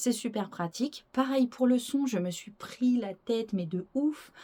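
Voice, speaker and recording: A woman's voice has a dark, mellow tone. It sounds somewhat breathy. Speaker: YouTuber presenting strange places. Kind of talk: casual vlog to camera. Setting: wooden cabin chalet. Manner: hesitant, many fillers.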